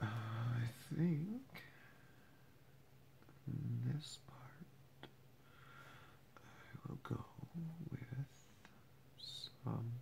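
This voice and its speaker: Soft-spoken whispering at a very slow pace, with long, frequent pauses. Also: man. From Canada. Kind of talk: ASMR whisper. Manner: whispered, soft-spoken.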